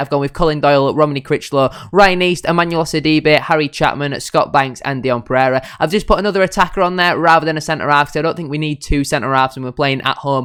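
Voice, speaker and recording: Hardly pausing, a man talks at a very fast pace in a Yorkshire accent. His pitch is fairly high, with ordinary variation. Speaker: football fan YouTuber. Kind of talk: football match preview and score predictions. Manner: fast-talking, usually.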